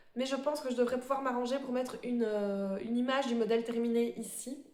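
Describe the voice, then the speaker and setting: A woman talks at a high pitch and a moderate pace. Her intonation stays fairly even, and audible room echo surrounds her. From Belgium. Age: 30s. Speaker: embroidery vlogger. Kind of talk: casual show-and-tell vlog. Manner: hesitant, many fillers.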